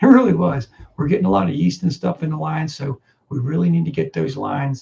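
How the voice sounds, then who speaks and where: Somewhat breathy and dark, mellow in tone, a man talks very fast at a fairly high pitch with very wide pitch swings. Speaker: farmer and livestream host. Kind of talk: casual livestream chat.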